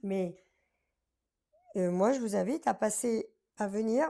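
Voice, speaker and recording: Animated in tone, a woman speaks with lively intonation at a fairly high pitch. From France, Paris area (Drancy), traveller community. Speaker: singer from a fairground family. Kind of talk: interview. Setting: live stream show.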